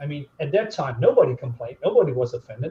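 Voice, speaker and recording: This man's voice is somewhat breathy and sits fairly high in pitch. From continental Europe. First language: non-English European language. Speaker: YouTuber reviewing comics. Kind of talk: casual chat on live stream.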